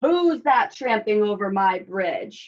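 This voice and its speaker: At a fairly slow pace, a woman puts on a character voice pitched fairly high. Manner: roaring, gruff.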